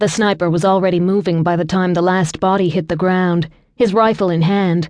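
A woman speaks in a normal speaking voice at medium pitch. Her pace is moderate and the background is quiet. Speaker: audiobook narrator. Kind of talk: dramatic audiobook narration of a thriller-romance, tense and cinematic.

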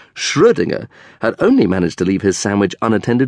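An animated man with very wide pitch swings, against a quiet background. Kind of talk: scripted audiobook narration of a children's comic story. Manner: measured, clearly paced, animated with arch comic timing.

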